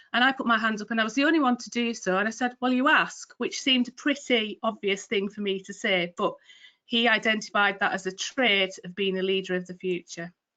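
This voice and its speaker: Bright and sharp in tone, a woman with a Cumbrian accent talks at a fairly quick pace with a fairly high pitch and ordinary pitch variation. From northern England, Cumbria. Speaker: retail trading and delivery manager. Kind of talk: career talk in a webinar. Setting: online webinar.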